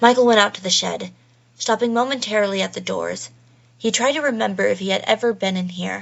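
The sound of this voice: Pitch varies in an ordinary way within an unforced reading voice.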